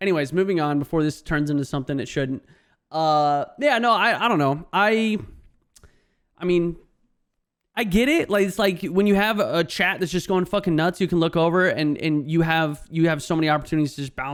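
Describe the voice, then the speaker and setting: On a very clean recording with a silent background, a man talks at a fairly quick pace with a high pitch and ordinary pitch variation. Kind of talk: casual, profane.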